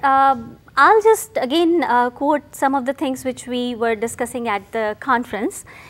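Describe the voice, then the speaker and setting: At a moderate pace, a woman with an Indian accent talks in a high pitch with lively intonation. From India (Calcutta). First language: Hindi or Bengali. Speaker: CEO and scientist. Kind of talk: interview. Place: studio. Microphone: lapel.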